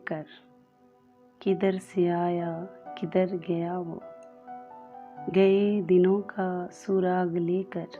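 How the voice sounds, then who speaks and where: With music in the background, a woman speaks at a medium pitch in a monotone, flat intonation. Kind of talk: poetry reading.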